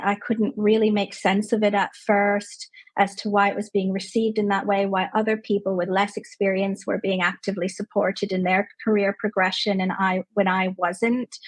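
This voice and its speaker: At a moderate pace and medium pitch, a woman with a Canadian accent sounds somewhat breathy. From Canada. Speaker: clinical psychologist. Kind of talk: interview conversation.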